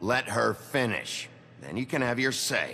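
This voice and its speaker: A man does a raspy, put-on character voice at a medium pitch and moderate pace, with clear background noise. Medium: video game. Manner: terse, gruff.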